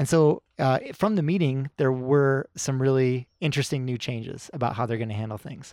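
A man with a plain, everyday voice speaks at medium pitch and a moderate pace. He uses ordinary pitch variation and hardly any pauses. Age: 40s. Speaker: climbing guidebook author. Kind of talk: casual chat.

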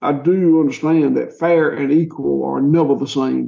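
A man talks in a Southern US accent. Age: 60s. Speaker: farmer. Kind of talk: interview. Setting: remote call from a rural old courthouse. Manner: halting.

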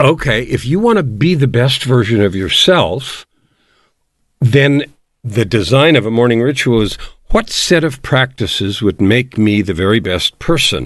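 Against a quiet background, a man with an American accent and a plain, everyday voice speaks at a moderate pace and medium pitch, with lively intonation and very even loudness. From US West Coast, San Francisco. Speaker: life coach and author. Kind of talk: interview.

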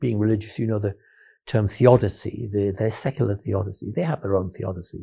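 In a very clean recording with a silent background, a somewhat breathy voice with a dark, mellow tone speaks in an English accent. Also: man. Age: 70s. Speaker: philosopher. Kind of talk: interview.

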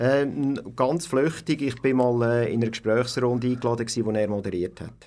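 Medium in pitch with ordinary pitch variation, a man speaks at a moderate pace in a dark, mellow tone. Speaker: community radio co-founder and engineer. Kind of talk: interview. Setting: radio studio. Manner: halting.

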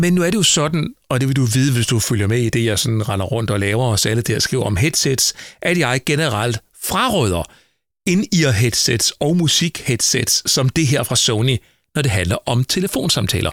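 Recorded very cleanly with a silent background and a dry, close sound with no echo, a man speaks at a moderate pace and medium pitch with lively intonation and very even loudness. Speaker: tech podcast host. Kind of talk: solo podcast product review.

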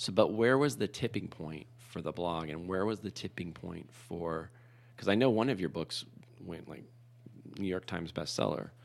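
A man's very deep, low voice at a moderate pace, with lively intonation and big swings in loudness. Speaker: podcast co-host. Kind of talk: casual chat. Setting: studio.

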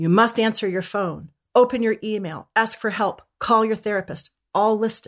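Over a quiet background, a woman with a normal speaking voice talks at a moderate pace, her fairly high pitch held in fairly even intonation. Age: 50s. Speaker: mental health author and coach. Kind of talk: interview.

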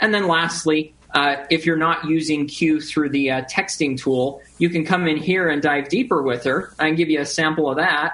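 Noticeable background noise sits behind the voice. The pace is moderate, with hardly any pauses. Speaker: guest tech company representative. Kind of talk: explanatory interview answers.

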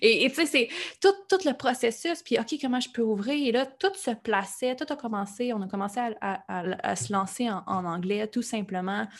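A woman with a Quebec accent, fairly high in pitch with very wide pitch swings, at a moderate pace on a very clean recording with a silent background. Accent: Québécois French. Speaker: life coach and podcaster. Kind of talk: interview. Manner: animated.

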